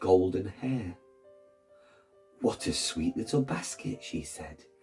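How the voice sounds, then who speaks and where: A man's voice over music in the background. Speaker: teacher reading a picture book aloud to children. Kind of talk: expressive storybook narration.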